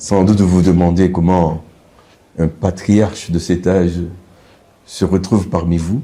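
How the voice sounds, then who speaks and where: A man with a very deep, low pitch and a dark, mellow tone speaks at a fairly slow pace in a flat monotone, his loudness very even and his pauses long and frequent. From DR Congo, Katanga. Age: 70s. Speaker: university rector and medical professor. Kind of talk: interview. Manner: formal.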